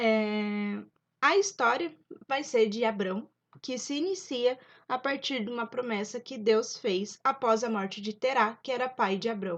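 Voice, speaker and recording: A woman's fairly high pitch and ordinary pitch variation at a fairly slow pace, over a quiet background. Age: 20s. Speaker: YouTuber, Bible storyteller. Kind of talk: casual Bible study retelling. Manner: informal, with hesitations.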